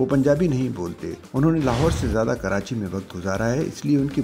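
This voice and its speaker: A man's voice with very wide pitch swings, music playing in the background. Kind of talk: news report narration.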